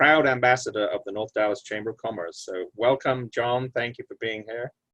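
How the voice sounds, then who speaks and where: Speaking at a fairly quick pace with a British accent, a man with a medium pitch is heard in a dry, close sound with no echo. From Britain. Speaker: lawyer, panel moderator. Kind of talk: panel moderation, introductions. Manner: halting, many fillers.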